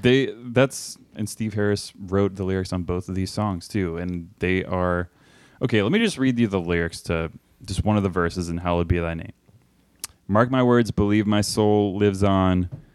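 It is a normal speaking voice, delivered at a moderate pace. The intonation stays fairly even, with an American accent. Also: man, fairly low pitch for a man. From Texas, Austin. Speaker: podcast co-host. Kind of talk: casual chat.

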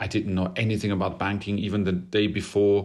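This man speaks with a German accent at a fairly low pitch. His intonation is monotone and flat, on a very clean recording with a silent background. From Germany, Bavaria (Regensburg). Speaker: classical baritone singer. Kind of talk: interview conversation.

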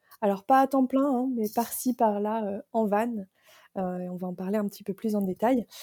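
Fairly slow speech from a woman with fairly high pitch, a dark, mellow tone and fairly even intonation, in a dry, close sound with no echo. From northern France, Picardy. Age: 30s. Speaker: van-life blogger and digital nomad. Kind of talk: interview.

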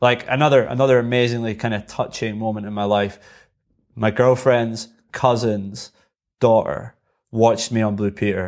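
A man's medium-pitched voice with an Edinburgh accent, fairly even intonation and a moderate pace, in a very clean recording with a silent background. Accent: Edinburgh Scottish. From Scotland, Edinburgh. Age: 30s. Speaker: extreme unicyclist. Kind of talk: casual chat.

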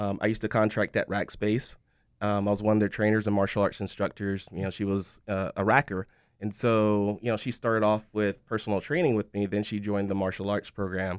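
Against a quiet background, a man talks at a fairly quick pace. His fairly low pitch stays in a monotone, flat intonation. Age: 40s. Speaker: martial arts instructor and gym owner. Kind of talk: casual interview.

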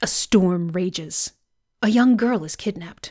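Recorded very cleanly against a silent background, with a dry, close sound and no echo, a woman speaks at a fairly high pitch with lively intonation. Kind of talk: casual podcast chat. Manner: gets faster and higher when excited.

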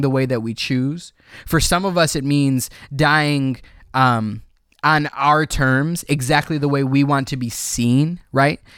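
With an American accent, a man with a normal speaking voice and fairly high pitch keeps his intonation fairly even in a very clean recording with a silent background. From Chicago area, Illinois (Cicero). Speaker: podcast co-host, writer. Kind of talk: casual chat about films.

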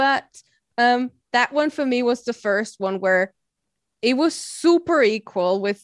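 In an Austrian accent, a woman speaks at a fairly high pitch with ordinary pitch variation, and the sound is dry and close with no echo. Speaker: podcaster. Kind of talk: casual chat. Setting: video call.

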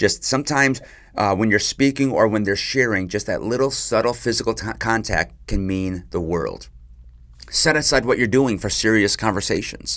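A man talks in a normal speaking voice at medium pitch with ordinary pitch variation. The pace is moderate, and the recording is very clean with a silent background. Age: 40s. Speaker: marriage podcast host. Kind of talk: solo advice podcast monologue.

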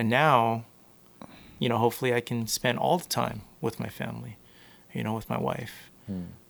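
This man talks at a fairly slow pace, his medium-pitched voice carrying vocal fry. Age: 30s. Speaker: physiotherapy business founder. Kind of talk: casual interview chat.

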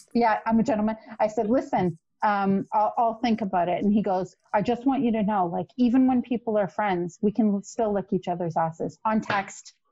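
A woman with a Canadian accent speaks in a fairly high, somewhat breathy voice with ordinary pitch variation. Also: moderate pace. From Canada, Toronto. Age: 40s. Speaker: podcast guest, single mother. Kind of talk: casual chat, storytelling.

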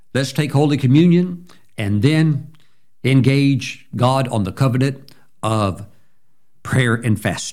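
A man at medium pitch with a Southern US accent, very slow pace, long, frequent pauses, and ordinary pitch variation. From US South, Mississippi. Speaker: pastor. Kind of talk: communion prayer, liturgical and devotional, thanking God in repeated litany. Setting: recorded video address to viewers. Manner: fervent, rhythmic repetition of 'we thank you' building in intensity; warm, encouraging, upbeat.

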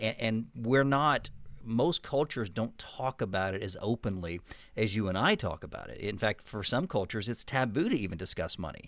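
On a very clean recording with a silent background, a man with an American accent speaks at a moderate pace with lively intonation. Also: medium pitch for a man. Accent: Texan, reduced. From Texas. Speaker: podcast co-host and author.

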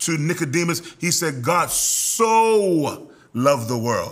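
Animated in tone, this man speaks with a high pitch. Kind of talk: preacher healing. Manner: commanding, exhorting.

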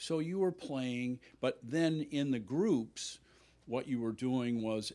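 A man with an unremarkable speaking voice talks in a medium pitch with lively intonation. The recording is very clean, with a silent background. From Illinois. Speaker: golf instructor. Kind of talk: casual chat.

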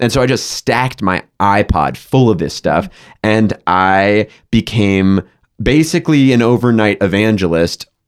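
A man with an American accent speaks at a fairly slow pace and fairly low pitch, with lively intonation and very even loudness, in a dry, close sound with no echo. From Massachusetts, Boston suburbs. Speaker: tech startup founder. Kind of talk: interview. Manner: halting.

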